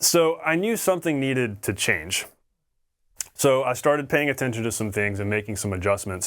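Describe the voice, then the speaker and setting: The recording is very clean, the background silent, and a man speaks fairly quickly in an unremarkable speaking voice. His pitch sits at medium, and his intonation is lively. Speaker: drum teacher. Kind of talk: tutorial. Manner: casual, conversational.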